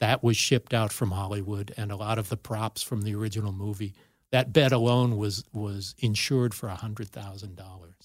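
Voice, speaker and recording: A man with an American accent speaks at a fairly quick pace in a fairly low, somewhat breathy voice with fairly even intonation. The recording is very clean, with a silent background. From US West Coast, Los Angeles. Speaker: film director and writer. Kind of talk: casual chat. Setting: studio.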